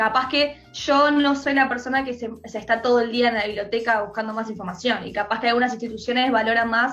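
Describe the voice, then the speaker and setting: The delivery is monotone and flat, in a Uruguayan accent at a fairly quick pace. Music plays in the background. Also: woman. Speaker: filmmaker. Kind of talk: interview. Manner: halting.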